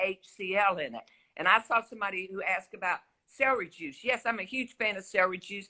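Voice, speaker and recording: In a Southern US accent, a woman at medium pitch talks at a fairly quick pace with a bright, sharp tone and ordinary pitch variation, the sound dry and close with no echo. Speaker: health expert guest on a talk show.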